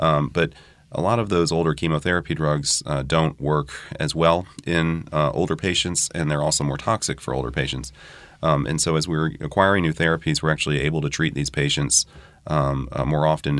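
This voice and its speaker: A man with a very deep, low pitch and vocal fry talks at a fairly quick pace with fairly even intonation. The recording is very clean, with a silent background. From New Orleans. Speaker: hematologic oncologist. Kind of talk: expert interview.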